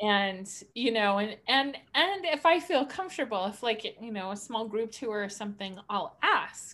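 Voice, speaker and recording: With a normal speaking voice, a woman talks fairly slowly at a fairly high pitch, her intonation lively and hardly any pauses breaking it up. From Montana, US. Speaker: podcast co-host. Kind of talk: casual chat.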